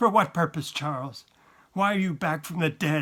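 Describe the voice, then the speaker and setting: A put-on character voice delivered at a moderate pace with ordinary pitch variation. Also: man. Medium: read story. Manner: tense, accusing.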